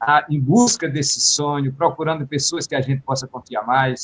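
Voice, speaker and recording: This male voice is pitched fairly high. There is a somewhat breathy quality to it. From Ceará, Brazil. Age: 70s. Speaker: repentista poet. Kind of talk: radio interview.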